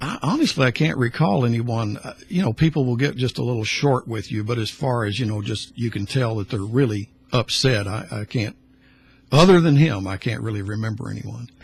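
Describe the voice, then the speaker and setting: This man talks fairly quickly with a medium pitch. The voice has a somewhat breathy quality and ordinary pitch variation. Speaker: retiring radio host. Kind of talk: radio interview. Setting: radio studio. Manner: quiet.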